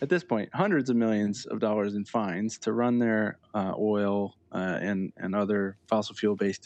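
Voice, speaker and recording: A man's ordinary speaking voice, fairly low in pitch and fairly slow, over a quiet background. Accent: American. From Connecticut, US. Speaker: environmental journalist and editor. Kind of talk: interview.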